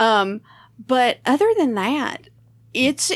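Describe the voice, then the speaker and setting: On a very clean recording with a silent background, a woman with a Southern US accent speaks in a high voice that makes very wide pitch swings. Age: 40s. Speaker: comedian and podcast host. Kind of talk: casual chat.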